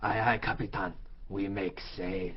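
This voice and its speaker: Putting on a character voice, a man talks at a fairly low pitch and a moderate pace over clear background noise. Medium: audio drama. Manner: broken, clipped speech.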